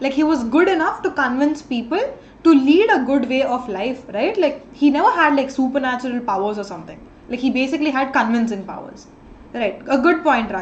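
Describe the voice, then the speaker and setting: A high-pitched woman's voice in an Indian accent, fairly quick and lively in intonation, with audible room echo. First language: an Indian language. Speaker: online tutor. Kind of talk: live online class.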